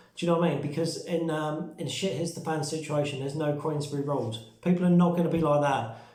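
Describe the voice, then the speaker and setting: At a very fast pace with hardly any pauses, a man speaks in a fairly high voice with fairly even intonation, amid audible room echo and noticeable background noise. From UK. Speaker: survival and prepping vlogger. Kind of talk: casual vlog talk. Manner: hesitant with fillers.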